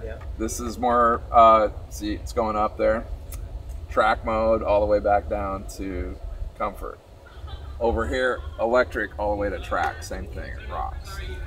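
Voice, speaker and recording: Loudness swings widely as a man speaks at a moderate pace over light background noise. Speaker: car brand instructor. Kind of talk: instructional explanation. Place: street.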